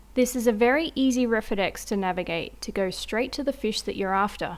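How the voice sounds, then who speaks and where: With ordinary pitch variation, a woman talks at a moderate pace and a fairly high pitch. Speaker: angler. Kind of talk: instructional explanation.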